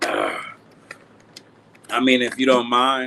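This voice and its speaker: Monotone, flat intonation marks a man talking at a medium pitch. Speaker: boxing livestream host. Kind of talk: casual livestream chat. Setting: live stream.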